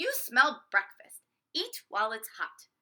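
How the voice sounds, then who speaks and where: A female-sounding, put-on character voice pitched high swings very widely in pitch. It moves at a fairly slow pace. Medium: read story. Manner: brusque, bossy.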